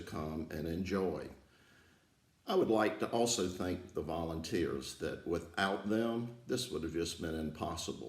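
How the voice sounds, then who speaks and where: Somewhat breathy and very deep, a man's low voice moves at a fairly slow pace with ordinary pitch variation and audible room echo. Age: 70s. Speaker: aerodrome founder and aviation enthusiast. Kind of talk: prepared thank-you speech. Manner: halting, with filler words.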